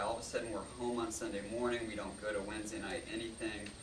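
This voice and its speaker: Noticeable background noise and audible room echo surround the recording. A man with an American accent talks at a medium pitch. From Florida (Melbourne). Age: 20s. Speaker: youth pastor candidate. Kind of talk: testimony. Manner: casual, hesitant with fillers.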